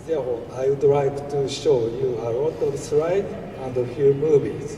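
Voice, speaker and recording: Very slowly, a man with a fairly high voice speaks with fairly even intonation. Audible room echo and noticeable background noise are present. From Japan. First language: Japanese. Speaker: veterinarian and farrier educator. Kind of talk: lecture. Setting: stage with audience. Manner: formal.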